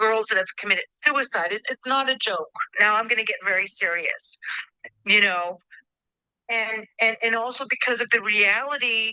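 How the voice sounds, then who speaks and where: Her voice is fairly high with ordinary pitch variation, and the woman's tone is bright and sharp. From New York, the Bronx. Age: 60s. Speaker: podcast guest. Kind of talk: casual chat. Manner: animated.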